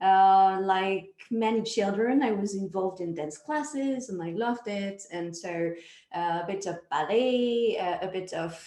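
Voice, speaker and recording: Dark, mellow tone with a slight French accent, ordinary pitch variation and a fairly slow pace, plus audible room echo. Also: woman, medium pitch for a woman. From France. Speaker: dance project director. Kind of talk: interview.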